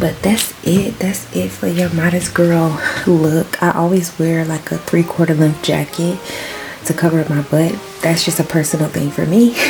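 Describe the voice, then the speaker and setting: Over music in the background, a woman whispers at a moderate pace. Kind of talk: casual vlog. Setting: at home. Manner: whispering.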